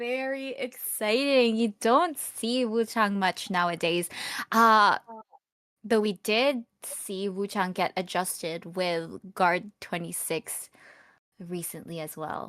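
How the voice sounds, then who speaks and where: Speaking very slowly with a non-native accent, a woman uses medium pitch and ordinary pitch variation, recorded very cleanly with a silent background and a dry, close sound with no echo. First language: not English. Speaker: esports caster. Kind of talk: live commentary.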